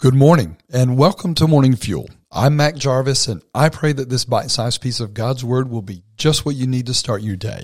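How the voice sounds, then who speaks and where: The voice is somewhat breathy, with ordinary pitch variation and a moderate pace that has hardly any pauses. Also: man, medium pitch for a man. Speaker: devotional podcast host. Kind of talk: short devotional talk; prayer.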